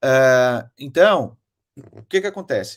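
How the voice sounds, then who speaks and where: With lively intonation, a man speaks in a very clean recording with a silent background and a dry, close sound with no echo. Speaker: online marketing mentor. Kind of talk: motivational talk to an audience.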